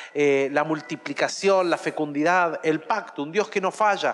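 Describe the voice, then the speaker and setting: A man with an unremarkable speaking voice talks at a moderate pace. His pitch is fairly high, and his intonation stays fairly even. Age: 40s. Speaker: pastor. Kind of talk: sermon.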